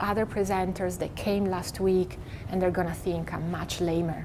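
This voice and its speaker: A woman talks at a moderate pace in an Italian accent with fairly even intonation. Audible room echo surrounds her voice. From Italy. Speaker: meditation teacher. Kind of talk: talk to an audience.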